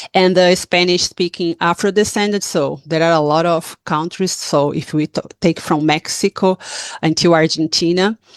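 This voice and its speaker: A woman with a Portuguese accent, fairly low in pitch, in a dry, close sound with no echo. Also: fairly even intonation, moderate pace, quiet background. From Brazil. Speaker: activist. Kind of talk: town hall talk. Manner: halting.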